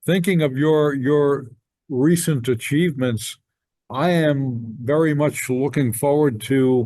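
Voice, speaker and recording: A man's dark, mellow tone with ordinary pitch variation, very even loudness and a very slow pace. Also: fairly high pitch for a man. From New Jersey. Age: 70s. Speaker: podcast host. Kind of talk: casual chat. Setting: video call.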